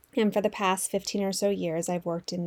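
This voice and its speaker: With an American accent, a woman talks fairly quickly in an unremarkable speaking voice, fairly low in pitch and fairly even in intonation. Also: very clean recording, silent background. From Los Angeles, San Fernando Valley. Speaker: podcast co-host. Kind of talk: casual chat.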